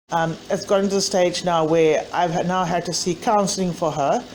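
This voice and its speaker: A woman speaks slowly-ish at a fairly low pitch, with fairly even intonation and noticeable background noise behind her. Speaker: mother of a bullied child. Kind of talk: personal testimony to camera.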